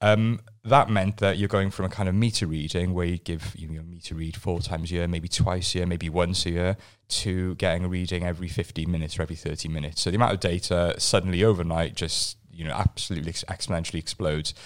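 A man's very deep, low voice at a very fast pace, with fairly even intonation and hardly any pauses, on a very clean recording with a silent background. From Wales. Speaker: data product leader at a large energy company. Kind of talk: podcast interview. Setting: in-person recording in Cardiff.

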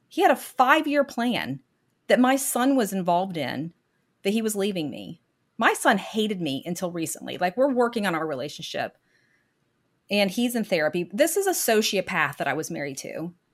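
With an American accent, a woman speaks at a medium pitch, her voice making very wide pitch swings. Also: moderate pace. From Michigan, later US South. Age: 50s. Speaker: guest sharing her divorce story. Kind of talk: interview, personal testimony.

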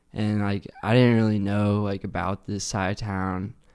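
In a normal speaking voice, a man talks with a fairly low pitch and fairly even intonation. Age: young. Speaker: recovering addict in rehab. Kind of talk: testimony.

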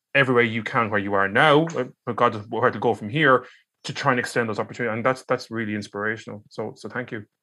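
A man with an Irish accent, bright and sharp in tone, at a very fast pace with fairly even intonation, on a very clean recording with a silent background. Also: medium pitch for a man. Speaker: podcast host, head of teaching regulator. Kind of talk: interview.

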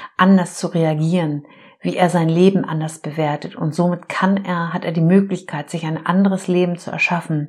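A somewhat breathy woman with fairly low pitch and monotone, flat intonation, at a moderate pace. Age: 50s. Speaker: life coach and podcast host. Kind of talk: solo podcast monologue. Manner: warm, heartfelt.

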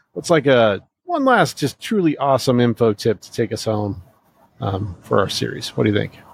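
A man with lively intonation and big swings in loudness, medium pitch, moderate pace, an unremarkable speaking voice, and dry, close sound with no echo. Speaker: podcast host and camp director. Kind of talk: casual chat, podcast interview.

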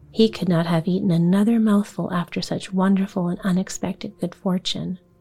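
The voice is a natural reading voice. Its intonation stays fairly even.

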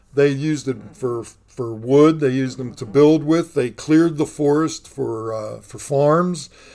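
A man with a Pittsburgh accent and a dark, mellow tone speaks at a fairly slow pace with hardly any pauses, his fairly high pitch showing ordinary variation while his loudness swings widely. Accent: western Pennsylvania (Pittsburgh). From Pittsburgh, western Pennsylvania. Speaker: local historian and YouTube creator. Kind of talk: casual interview. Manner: halting, many fillers and repeats.

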